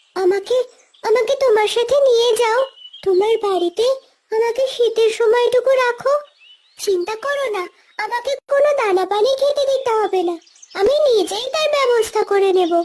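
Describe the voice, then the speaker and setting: A cartoonish character voice speaks at an extremely high pitch. The pace is fairly slow. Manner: pleading, polite.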